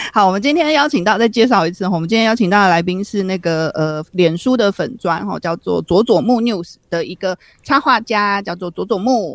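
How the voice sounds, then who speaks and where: The speaker has a Taiwanese accent and a moderate pace. There are hardly any pauses. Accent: Taiwanese Mandarin. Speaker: podcast co-host. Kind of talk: casual chat.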